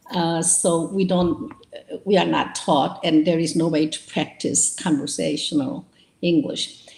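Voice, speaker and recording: A woman with a Korean accent speaks at a fairly slow pace in a fairly low voice with ordinary pitch variation. There is noticeable background noise. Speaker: novelist. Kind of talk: interview. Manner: hesitant, with fillers.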